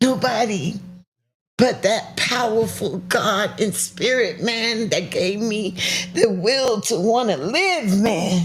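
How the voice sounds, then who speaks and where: At a very slow pace, a woman with an American accent and a fairly high pitch speaks with lively intonation, with audible room echo around her. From US South, South Carolina. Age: 60s. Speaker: cancer survivor. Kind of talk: testimony. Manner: animated.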